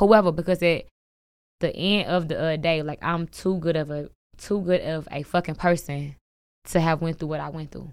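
On a very clean recording with a silent background, a woman with a fairly low pitch talks at a moderate pace with fairly even intonation. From St. Louis, Missouri. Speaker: rapper. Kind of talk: casual interview chat.

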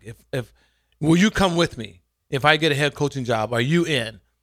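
In a very clean recording with a silent background, a man in a normal speaking voice talks at a fairly quick pace, with a fairly high pitch and lively intonation. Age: 50s. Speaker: former college quarterback, football commentator. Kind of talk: casual radio interview.

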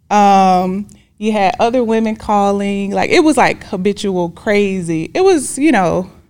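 In a plain, everyday voice with an American accent, the speaker talks at a fairly slow pace with very even loudness and ordinary pitch variation on a very clean recording with a silent background. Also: woman, medium pitch for a woman. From Decatur, Georgia, US South. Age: 40s. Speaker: love coach. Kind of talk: interview testimony.

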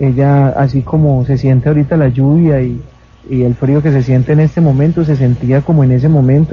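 A man speaks at a fairly quick pace in a fairly high pitch. His intonation is monotone and flat. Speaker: mayor and tragedy survivor. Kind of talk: on-site interview, guided tour. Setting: outdoors at night in the rain.

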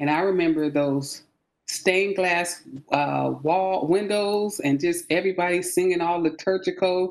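With a plain, everyday voice, a woman speaks at a fairly slow pace, her pitch fairly low and its variation ordinary. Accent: American. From San Francisco Bay Area, California. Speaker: military veteran. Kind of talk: faith testimony in casual interview.

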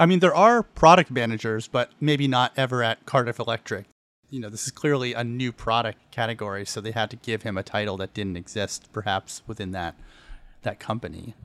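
An unremarkable speaking voice belongs to a man at medium pitch, with ordinary pitch variation and a fairly quick pace. His loudness swings widely on a very clean recording with a silent background. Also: dry, close sound with no echo. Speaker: podcast co-host. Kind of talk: casual podcast recap chat. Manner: playful, laughs often.

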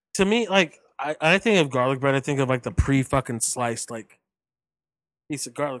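Big swings in loudness and lively intonation mark a man's ordinary speaking voice, pitched fairly high. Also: moderate pace. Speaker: wrestling podcast co-host. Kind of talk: casual chat.

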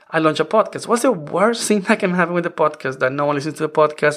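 A man with a non-native accent, very fast and hardly pausing, fairly high in pitch with ordinary pitch variation. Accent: foreign-accented English. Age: 40s. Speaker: podcast host. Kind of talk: solo podcast monologue, conversational. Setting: home office. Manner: informal, chatty, laughs often.

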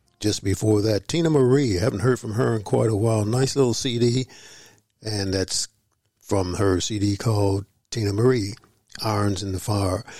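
On a very clean recording with a silent background, a man speaks at a moderate pace, somewhat breathy and relaxed in tone. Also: ordinary pitch variation. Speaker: jazz radio DJ. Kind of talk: radio DJ patter. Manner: relaxed, casual with fillers.

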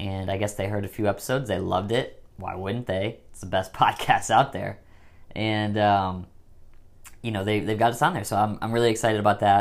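A man with an American accent speaks fairly quickly in an unremarkable speaking voice, fairly low in pitch with fairly even intonation. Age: 20s. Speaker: podcast host. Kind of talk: casual chat. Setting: recording at parents' home.

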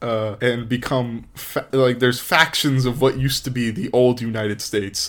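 Speaking at a moderate pace, a man uses a plain, everyday voice at a medium pitch. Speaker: podcast co-host. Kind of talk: casual chat.

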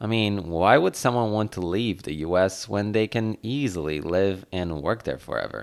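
Speaking with a Polish accent, a man uses a fairly low pitch and lively intonation at a moderate pace. The recording is very clean, with a silent background. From Poland. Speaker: podcast host. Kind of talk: solo podcast monologue.

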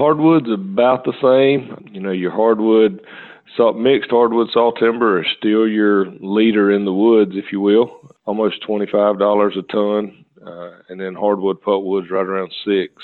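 A man's plain, everyday voice, fairly low in pitch, with fairly even intonation, big swings in loudness and a fairly slow pace. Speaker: timber market analyst. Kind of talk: casual interview.

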